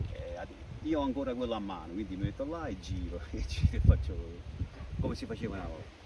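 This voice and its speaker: Amid noticeable background noise and audible room echo, a man speaks very fast at a very deep, low pitch with very wide pitch swings. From Campania, Benevento area (Pietraroia). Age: 60s. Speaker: school caretaker and hobby winegrower. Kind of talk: interview. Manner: halting.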